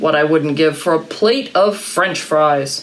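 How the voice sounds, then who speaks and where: A put-on character voice rumbles at a middle pitch. The pace is fairly slow. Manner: grumbling, complaining.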